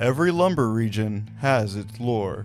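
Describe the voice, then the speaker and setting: A man at a fairly slow pace, lively in intonation, with music in the background. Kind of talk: reading a quotation.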